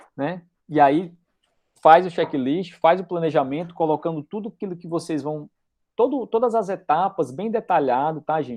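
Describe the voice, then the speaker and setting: Over a quiet background, a man talks at a moderate pace in a high pitch with ordinary pitch variation. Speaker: university lecturer. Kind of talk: lecture. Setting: video call. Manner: casual.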